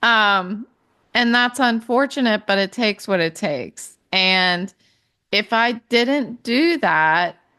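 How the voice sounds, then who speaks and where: This woman has a fairly high pitch, a bright, sharp tone and lively intonation. She speaks at a very slow pace against a quiet background. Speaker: podcast host, stroke survivor in recovery. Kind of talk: personal reflective monologue. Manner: halting, many fillers.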